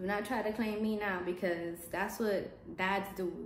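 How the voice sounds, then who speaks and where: This woman's medium-pitched voice comes with audible room echo. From New York (Bronx/Brooklyn), Puerto Rico-born. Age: 20s. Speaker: lifestyle vlogger. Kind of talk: personal storytelling vlog. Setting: empty apartment.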